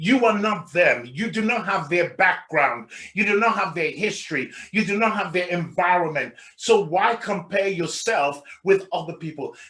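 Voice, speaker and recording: A man speaks in a raised, projected voice, high-pitched, bright and sharp, with an animated tone, ordinary pitch variation and a moderate pace. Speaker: life coach trainer. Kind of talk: workshop presentation. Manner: loud.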